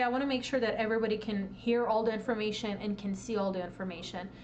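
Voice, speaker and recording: Talking fairly quickly, a woman is heard through audible room echo and noticeable background noise. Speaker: presenter at a tech meetup. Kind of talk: lecture. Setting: live stream to Discord audience. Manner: fast.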